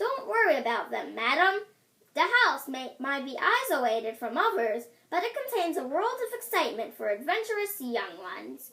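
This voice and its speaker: A woman does a put-on character voice, pitched high with very wide pitch swings. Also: moderate pace. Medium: read story.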